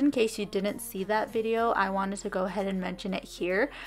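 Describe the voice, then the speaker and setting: Music behind a woman's moderately paced voice, its pitch rising and falling normally. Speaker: cleaning vlogger. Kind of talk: voiceover narration. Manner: casual, conversational.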